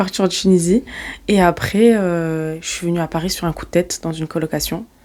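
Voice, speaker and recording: Speaking at a fairly quick pace, a woman uses a fairly low pitch and fairly even intonation, her tone dark and mellow. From southern France (Marseille, Montpellier, Nîmes). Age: 20s. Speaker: entrepreneur, company CEO. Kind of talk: podcast interview, casual chat. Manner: casual, hesitant with fillers and restarts.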